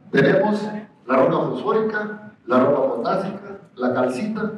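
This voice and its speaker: Over noticeable background noise and audible room echo, a high-pitched man speaks at a fairly slow pace. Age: 60s. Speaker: agronomist lecturer. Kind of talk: lecture.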